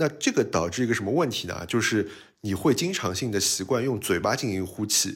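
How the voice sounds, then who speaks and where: Lively in intonation, a man with a fairly low, somewhat breathy voice talks at a fairly quick pace. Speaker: podcast host. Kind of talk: casual solo podcast monologue. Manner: casual, conversational, fillers.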